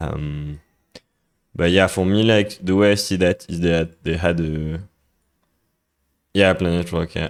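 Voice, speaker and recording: Speaking in a French accent at a fairly slow pace, this voice keeps a fairly even intonation and leaves long, frequent pauses. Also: man, very deep, low pitch for a man. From France. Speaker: music producer streamer. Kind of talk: live stream tutorial. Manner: halting, many fillers.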